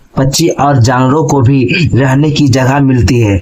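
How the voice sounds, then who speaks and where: Noticeable background noise runs under a man as he talks. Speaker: school teacher. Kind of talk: tutorial. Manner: halting.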